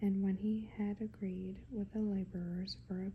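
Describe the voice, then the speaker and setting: A soft-spoken voice talks at a fairly slow pace. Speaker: ASMR Bible reader. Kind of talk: scripture reading for sleep and relaxation. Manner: slow, gentle.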